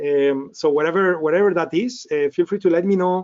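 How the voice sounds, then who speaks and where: With a high pitch, a man talks at a fairly quick pace. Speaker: trading instructor. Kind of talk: webinar presentation. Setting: online webinar. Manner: fast.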